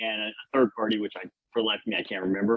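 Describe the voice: A man talks with a Louisiana accent. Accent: Louisiana Southern American.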